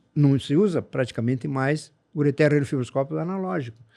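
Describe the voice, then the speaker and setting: Against a quiet background, a man with a dark, mellow tone talks at a fairly quick pace with ordinary pitch variation. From southern Brazil (Rio Grande do Sul). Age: 70s. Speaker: urologist. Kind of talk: interview conversation.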